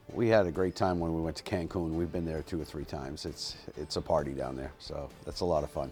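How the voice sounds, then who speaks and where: Over music in the background, a man with a very deep, low voice talks at a very fast pace with ordinary pitch variation and hardly any pauses. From New England. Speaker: horse trainer. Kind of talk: interview answers. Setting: horse barn. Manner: soft-spoken; halting.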